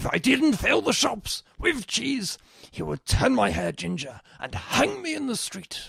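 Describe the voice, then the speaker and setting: At a fairly slow pace, a man puts on a character voice. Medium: audio drama. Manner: flustered, stammering.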